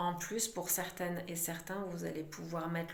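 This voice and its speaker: A woman speaks with a fairly low pitch and monotone, flat intonation at a moderate pace. Audible room echo and noticeable background noise surround her voice. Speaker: psychic medium doing card readings. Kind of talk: channeled oracle card reading.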